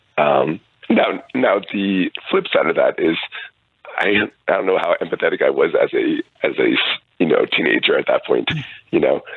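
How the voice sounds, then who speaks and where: At a moderate pace and very even loudness, a man speaks with long, frequent pauses while music plays in the background. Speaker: physician. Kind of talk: radio interview. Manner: halting, many fillers.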